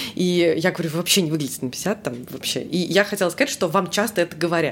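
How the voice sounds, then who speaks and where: A woman's fairly low voice at a fairly quick pace, with ordinary pitch variation and noticeable background noise. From Russia, Samara. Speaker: English teacher. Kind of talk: casual chat.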